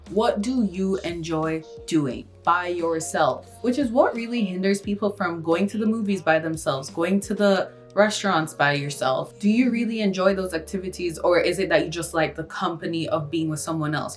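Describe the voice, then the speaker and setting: Music plays in the background. The speech has hardly any pauses and ordinary pitch variation. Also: woman, fairly low pitch for a woman, moderate pace. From Kingston, Jamaica. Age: 20s. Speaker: university student, YouTuber. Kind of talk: casual talk to camera.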